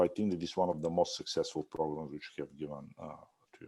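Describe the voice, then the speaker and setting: A man with a non-native accent speaks in a dark, mellow tone with ordinary pitch variation on a very clean recording with a silent background. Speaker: architecture instructor. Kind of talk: review critique. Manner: halting, many fillers.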